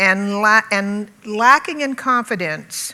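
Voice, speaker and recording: Her pitch is medium with ordinary variation as a woman speaks in an American accent. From US South, Birmingham, Alabama. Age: 60s. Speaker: conference panelist. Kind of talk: panel talk. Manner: halting, frequent fillers.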